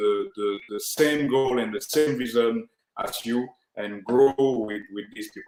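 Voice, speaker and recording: A man speaks with a French accent. His pace is very slow. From Cameroon, western region. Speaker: media producer and TV host. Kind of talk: interview. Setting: remote video call from Cameroon. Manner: halting, hesitant in English.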